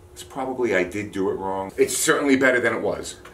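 The speaker is male. Some faint noise sits behind him. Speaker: home DIY vlogger. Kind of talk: casual vlog chat. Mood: pleased, relaxed. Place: garage. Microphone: camera far.

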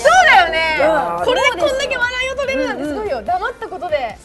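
A woman talks in a raised, projected voice at a very fast pace, her extremely high pitch swinging very widely. Noticeable background noise is present. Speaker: voice actor. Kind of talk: casual show banter.

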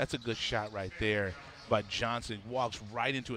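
A man talks with a bright, sharp tone. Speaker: basketball commentator. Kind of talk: live sports commentary. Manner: analytical, explaining coaching and strategy between calls.

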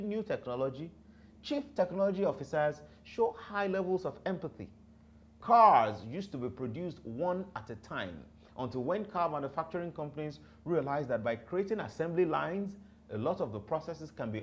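At a fairly quick pace, a man speaks with very wide pitch swings. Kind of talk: lecture-style talk to camera. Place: studio.

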